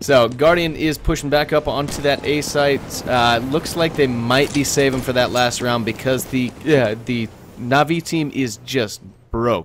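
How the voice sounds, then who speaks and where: Over noticeable background noise, a man speaks fairly slowly at a medium pitch with fairly even intonation. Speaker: esports caster (first attempt at commentary). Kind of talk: esports match commentary.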